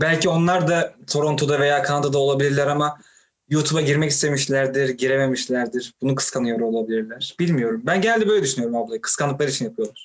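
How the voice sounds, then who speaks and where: Talking at a very fast pace, a man keeps his loudness very even and his pitch variation ordinary. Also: fairly high pitch for a man. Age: 20s. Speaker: podcast host. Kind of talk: interview.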